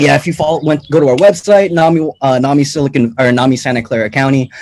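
A man with an American accent has an unremarkable speaking voice of fairly high pitch. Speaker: nonprofit events manager. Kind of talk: casual chat.

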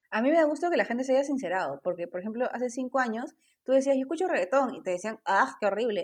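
This woman talks very fast in a high voice. Her pitch swings very widely. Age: 30s. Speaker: tarot reader and spiritual guide. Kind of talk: casual interview chat.

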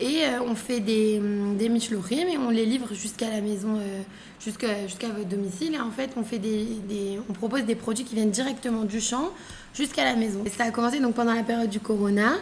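A woman with a fairly high pitch and fairly even intonation is heard with audible room echo and noticeable background noise. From France, Paris. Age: 20s. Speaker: entrepreneur. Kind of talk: casual chat.

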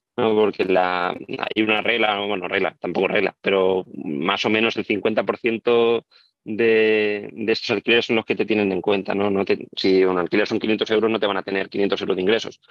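In a normal speaking voice, a man with a fairly low pitch talks at a moderate pace with fairly even intonation, very even loudness and hardly any pauses. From Spain, Albacete. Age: 30s. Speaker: property investor. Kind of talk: interview.

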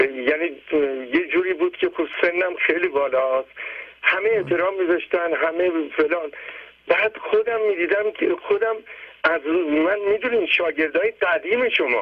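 Over noticeable background noise, a man with a high pitch speaks at a very even loudness, leaving long, frequent pauses. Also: ordinary pitch variation, moderate pace. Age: 80s+. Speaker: caller. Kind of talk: testimony.

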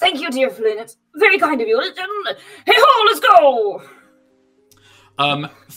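The speaker uses a put-on character voice at a very slow pace. Long, frequent pauses break it up while faint music plays in the background. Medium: actual play. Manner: genial, slightly pompous, then urgent.

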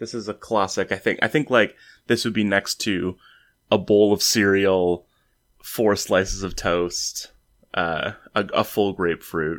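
A man speaks in a plain, everyday voice at fairly low pitch. His pace is fairly slow and his intonation fairly even. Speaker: podcast host. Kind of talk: casual banter podcast chat. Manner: jokey, chatty, playful.

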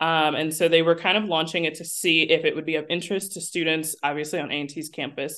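Speaking in a very deep, low voice, a woman with an American accent talks at a very fast pace with hardly any pauses. Her intonation is flat and monotone. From South Jersey, near Philadelphia. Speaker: foundation project manager. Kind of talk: podcast interview. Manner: casual, many filler words.

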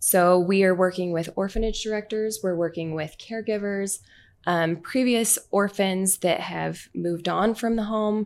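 In a very clean recording with a silent background, a woman with an American accent speaks in a normal speaking voice at medium pitch, keeping a moderate pace and fairly even intonation. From Utah, Orem. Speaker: charity founder. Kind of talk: interview.

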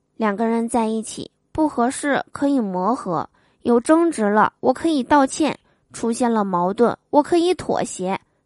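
Recorded with a dry, close sound, no echo and a quiet background, a woman with a fairly high pitch speaks fairly slowly in a playful, animated tone with lively intonation. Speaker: podcast host telling jokes. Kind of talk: comedic joke reading.

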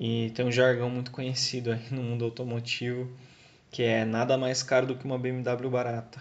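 A man speaks with medium pitch. His intonation is monotone and flat. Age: 20s. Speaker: car enthusiast giving advice. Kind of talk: recorded testimony.

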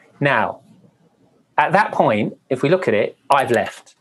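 Speaking at a fairly slow pace, a man talks with a Welsh accent. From Wales. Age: 50s. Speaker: former TV dating show host. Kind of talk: interview.

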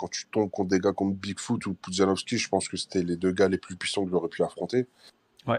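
This man talks at a fairly quick clip in a fairly low voice with fairly even intonation. The sound is dry and close with no echo, over a quiet background. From France, Portuguese community. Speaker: MMA fighter. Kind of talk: casual interview.

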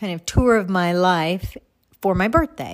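On a very clean recording with a silent background, a woman in an American accent speaks at a medium pitch and a fairly slow pace in an ordinary speaking voice. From Texas. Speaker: podcast host. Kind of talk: reflective personal monologue.

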